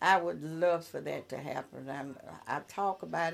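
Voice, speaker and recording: With a Mississippi accent, a woman speaks fairly slowly in a very deep, low voice, her pitch varying in an ordinary way. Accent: Southern US (Mississippi). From US South (Columbia, Mississippi). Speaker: retired social worker, neighborhood block watch president. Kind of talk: casual interview.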